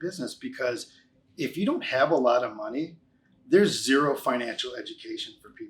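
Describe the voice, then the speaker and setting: A fairly quick pace marks this speech. The voice belongs to a man. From US Midwest, Chicago. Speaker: financial services business owner. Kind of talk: casual interview.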